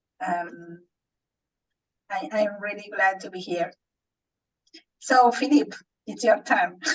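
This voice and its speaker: Speaking very slowly with long, frequent pauses, a woman with a Spanish accent uses a medium pitch, lively intonation and big swings in loudness. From Argentina, Buenos Aires. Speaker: transformation coach. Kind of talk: casual self-introduction. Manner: halting.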